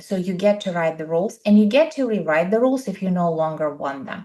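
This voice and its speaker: A woman with an Eastern European accent at a medium pitch, with ordinary pitch variation and a moderate pace against a quiet background. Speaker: podcast co-host, coach. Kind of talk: casual chat. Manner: animated.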